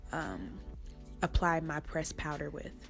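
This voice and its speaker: Over music in the background, a woman speaks at a moderate pace with a fairly low pitch. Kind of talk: makeup tutorial voiceover. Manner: low energy.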